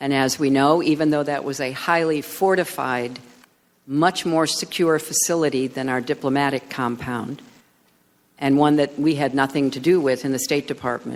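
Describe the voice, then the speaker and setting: A man with a fairly high pitch delivers his words at a moderate pace, using fairly even intonation and an ordinary speaking voice. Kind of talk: formal testimony at a congressional hearing. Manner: measured, formal, serious.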